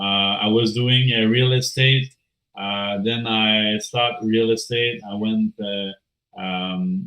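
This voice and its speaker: A man with a strong French accent at a very slow pace, ordinary pitch variation, music in the background. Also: medium pitch for a man. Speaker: crypto project team member. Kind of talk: AMA interview. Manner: halting, many filler sounds.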